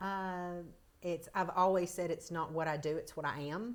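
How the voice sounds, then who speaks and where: A woman with a Tennessee accent talks at a moderate pace. Her intonation stays fairly even. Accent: Southern US (Tennessee). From US South, Chattanooga, Tennessee. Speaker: emergency nurse manager. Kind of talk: podcast interview.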